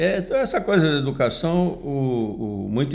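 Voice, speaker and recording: Lively intonation marks a man's medium-pitched voice, heard with audible room echo. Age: 70s. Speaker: union leader and podcast commentator. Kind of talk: casual chat. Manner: halting, with frequent repetitions.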